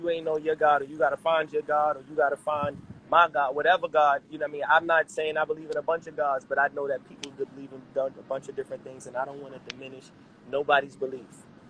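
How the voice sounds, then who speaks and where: Delivered at a very fast pace in a New York accent, the speech has a monotone, flat intonation. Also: man, fairly high pitch for a man, big swings in loudness. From New York City, Harlem. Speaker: rapper. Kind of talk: casual interview.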